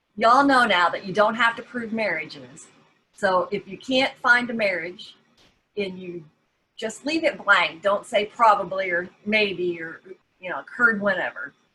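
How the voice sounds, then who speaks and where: Speaking with a Southern US accent at a moderate pace, a woman uses lively intonation and her loudness swings widely. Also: medium pitch for a woman. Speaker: genealogy society officer. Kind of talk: workshop presentation.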